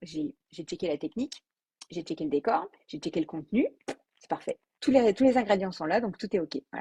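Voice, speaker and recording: A woman's dark, mellow tone is somewhat breathy and moves in very wide pitch swings. The recording is dry and close, with no echo. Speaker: business coach. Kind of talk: live video talk. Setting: Facebook live video. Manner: fast; spontaneous, with hesitations.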